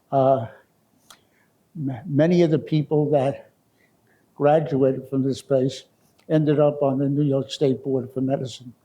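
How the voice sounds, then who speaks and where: A man with a dark, mellow tone and fairly high pitch speaks at a fairly slow pace in a monotone, flat intonation. He leaves long, frequent pauses. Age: 90s. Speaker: medical school founder and former professor. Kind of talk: interview reminiscence. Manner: halting, with false starts.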